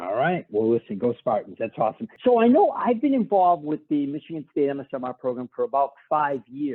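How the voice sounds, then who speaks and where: With a Boston accent, a man talks at a fairly quick pace and fairly high pitch, his pitch swinging very widely and hardly any pauses between words. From Boston, Massachusetts. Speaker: podcast host. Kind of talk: interview. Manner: casual.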